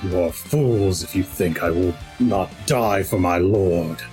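A man in a put-on character voice, very deep and low in pitch, at a fairly slow pace over clear music in the background. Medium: actual play. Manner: snarling, defiant.

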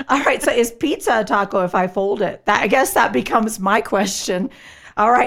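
A woman speaks with an animated tone at a fairly quick pace and fairly high pitch. Her pitch variation is ordinary and her loudness very even. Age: middle-aged. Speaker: podcast host. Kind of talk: casual chat.

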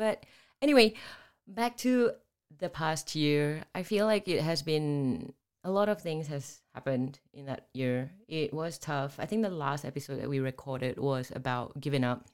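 Speaking at a moderate pace, a woman with a very deep, low pitch uses lively intonation and an animated tone. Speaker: podcast co-host. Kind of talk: casual chat. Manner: animated, excitable.

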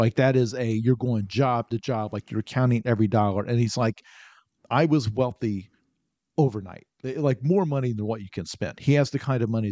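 A man's medium-pitched voice with an American accent, dark and mellow in tone, ordinary pitch variation and a moderate pace, in a dry, close recording with no echo and a quiet background. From US Midwest, southern Illinois. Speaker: novelist. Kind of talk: casual interview.

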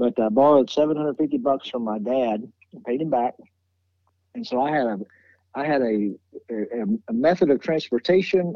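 A man with a Tennessee accent speaks with lively intonation. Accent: Southern US (Tennessee). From Nashville, Tennessee. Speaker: music booking agent. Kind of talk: interview conversation.

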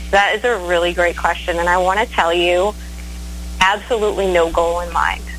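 With an American accent, a woman talks over music in the background. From Maine, US. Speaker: blues singer-songwriter. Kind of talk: interview. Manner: hesitant, many fillers.

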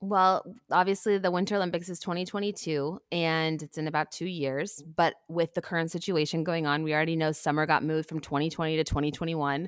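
A woman with an American accent speaks at a very fast pace with hardly any pauses. Her voice is fairly low, her intonation fairly even, and the recording very clean with a silent background. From Texas (Houston). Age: 30s. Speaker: TV shopping host and athlete. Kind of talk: interview conversation.

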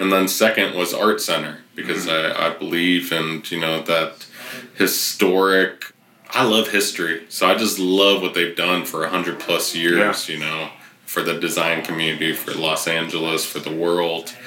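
In a room with audible echo, a man with a Californian accent speaks at a very deep, low pitch in monotone, flat intonation. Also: moderate pace. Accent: Californian American. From US West Coast, Riverside, California. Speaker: photography professor. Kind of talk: casual interview chat. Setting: guest's campus office.

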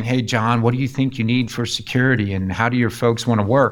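A man's unremarkable speaking voice with an American accent, medium pitch, ordinary pitch variation and fairly quick pace, on a very clean recording with a silent background. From US Northeast (Pittsburgh, Rochester NY). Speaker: cybersecurity company founder and CEO. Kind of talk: interview, personal story.

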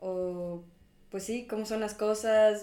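A woman speaks at a medium pitch. The room echo is audible. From Ecuador. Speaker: university student. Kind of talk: casual chat.

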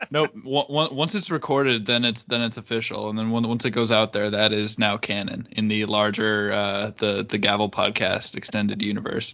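Pitched fairly low, a man speaks at a moderate pace with fairly even intonation and hardly any pauses. Noticeable background noise sits behind him. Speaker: podcast host. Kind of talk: casual chat.

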